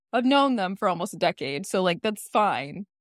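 The delivery is animated, with lively intonation at a moderate pace, in a dry, close sound with no echo. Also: woman. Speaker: podcast co-host. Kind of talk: casual chat recapping reality TV. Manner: animated, laughs often.

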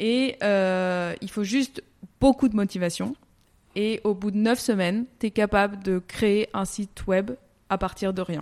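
Very slowly and with fairly even intonation, a woman speaks at a medium pitch in a very clean recording with a silent background and a dry, close sound with no echo. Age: 30s. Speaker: coding school staff. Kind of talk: interview.

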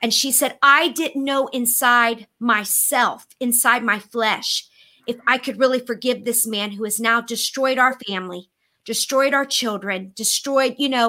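Fairly slow and fairly even in intonation, a woman speaks in a high voice with an American accent. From Florida, US. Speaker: co-host. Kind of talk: casual panel chat.

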